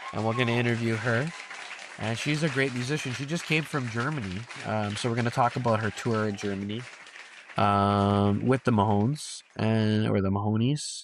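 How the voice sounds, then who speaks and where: Crowd noise can be heard in the background. The intonation is fairly even. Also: man. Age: 40s. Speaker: podcast host. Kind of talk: casual chat.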